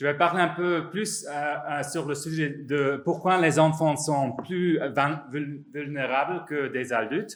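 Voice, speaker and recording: With a non-native accent and a fairly high pitch, a man speaks at a very slow pace amid audible room echo. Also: ordinary pitch variation. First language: not French (speaking French). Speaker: psychologist and professor. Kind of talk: conference talk. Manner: halting, many hesitations and repetitions.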